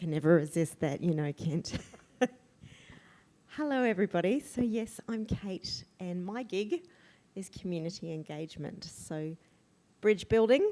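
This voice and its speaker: Her voice is medium in pitch with a dark, mellow tone, and her intonation is lively while her loudness swings widely. The woman speaks fairly slowly, with long, frequent pauses. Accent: Australian. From country Victoria, Australia. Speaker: community engagement worker. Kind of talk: talk to church group. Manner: animated.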